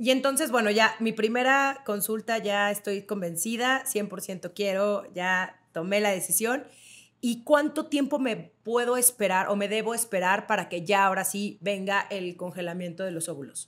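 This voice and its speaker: A woman talks with ordinary pitch variation at a fairly slow pace. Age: 30s. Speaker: podcast host. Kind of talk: interview. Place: home room. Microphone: studio mic.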